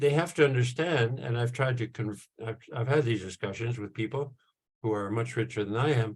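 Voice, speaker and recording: With ordinary pitch variation and a somewhat breathy tone, the speech proceeds at a moderate pace. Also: man, medium pitch for a man. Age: 70s. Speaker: professor. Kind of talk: panel talk. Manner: halting, many fillers.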